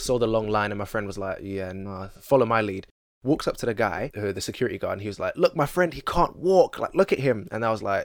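A man at a fairly quick pace with very wide pitch swings and hardly any pauses, in a very clean recording with a silent background. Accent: London. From East London. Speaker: musician. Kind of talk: casual interview chat. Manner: relaxed, joking.

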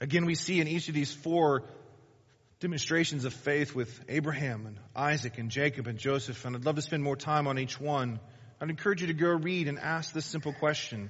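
A man's somewhat breathy, fairly high voice moves at a fairly quick pace with ordinary pitch variation, and audible room echo surrounds it. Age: 40s. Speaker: pastor. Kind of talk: sermon.

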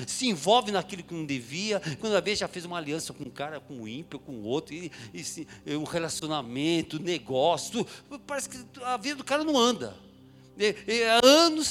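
This man talks at a moderate pace in a high pitch, with very wide pitch swings and big swings in loudness. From São Paulo, Brazil (Mooca, east side). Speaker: preacher. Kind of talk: sermon. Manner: animated.

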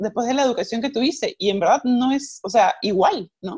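Very wide pitch swings at a fairly quick pace. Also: woman. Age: 40s. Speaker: self-love coach and yoga teacher. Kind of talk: interview.

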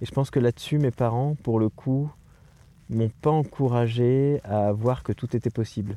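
In a very clean recording with a silent background and a dry, close sound with no echo, a man talks at a fairly slow pace, medium in pitch, with fairly even intonation. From France, near Poitiers (Châtellerault). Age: 40s. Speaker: circus arts administrator. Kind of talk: interview, personal conversation. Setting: in a tent in the mountains. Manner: hesitant, many fillers.

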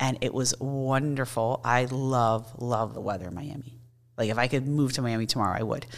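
Through noticeable background noise, a woman's very deep, low voice moves at a moderate pace with fairly even intonation. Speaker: psychologist and professor. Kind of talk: casual interview.

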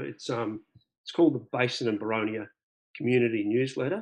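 Here is a man with an Australian accent. His pitch is medium. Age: 50s. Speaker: birdwatcher and club member. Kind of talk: interview. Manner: halting.

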